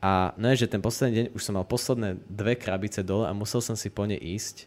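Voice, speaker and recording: At a fairly quick pace, a man talks in an unremarkable speaking voice, fairly low in pitch with ordinary pitch variation. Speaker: youtuber and podcast host. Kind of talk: casual chat.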